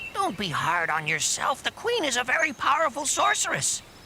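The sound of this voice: High-pitched and cartoonish, this character voice moves at a moderate pace against clear background noise.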